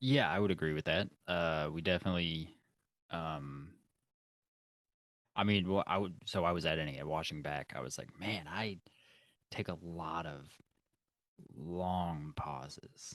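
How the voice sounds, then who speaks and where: A man with a very deep, low pitch and a slight Kentucky accent, at a fairly slow pace with long, frequent pauses and ordinary pitch variation. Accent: slight Southern drawl, slow Kentucky speech. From Kentucky, Louisville. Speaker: podcast co-host. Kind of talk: casual chat.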